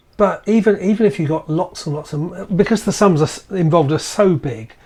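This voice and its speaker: A man with a British accent talks at a fairly quick pace. His voice is high-pitched with lively intonation. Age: 60s. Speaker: podcast co-host. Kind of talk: casual chat. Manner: halting.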